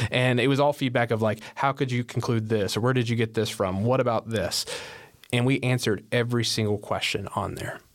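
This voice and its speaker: Delivered at a fairly quick pace, the speech uses an ordinary speaking voice. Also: man. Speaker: podcast host. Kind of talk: panel discussion.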